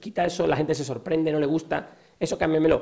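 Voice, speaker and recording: A man's fairly high voice comes at a fairly quick clip, with noticeable noise behind it. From southern Spain. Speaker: company founder. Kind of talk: interview.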